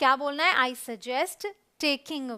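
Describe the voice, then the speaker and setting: Raised, projected female speech, bright and sharp in tone. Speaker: English teacher. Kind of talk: educational lesson video, explanatory teaching talk.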